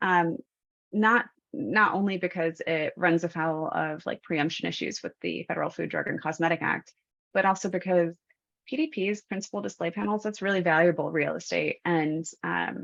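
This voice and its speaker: There is vocal fry in this woman's lively intonation, set against a quiet background. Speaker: attorney and webinar speaker. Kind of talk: presentation. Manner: fast.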